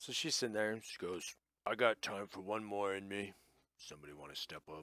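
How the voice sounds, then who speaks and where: In a put-on character voice, a man speaks fairly quickly at a fairly low pitch. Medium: actual play. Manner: wry, confident.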